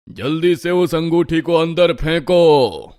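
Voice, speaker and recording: A man puts on a cartoonish character voice pitched high. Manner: gloating.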